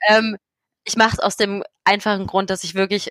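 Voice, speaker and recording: The woman's bright, sharp tone sits at a medium pitch in a dry, close sound with no echo. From Berlin, Germany. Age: 20s. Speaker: blogger and patient advocate living with MS. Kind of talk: interview.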